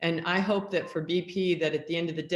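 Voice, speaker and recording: A woman with an unremarkable speaking voice and an American accent talks at a moderate pace in a fairly low pitch with fairly even intonation. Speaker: audience participant, peace building worker. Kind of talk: panel discussion question.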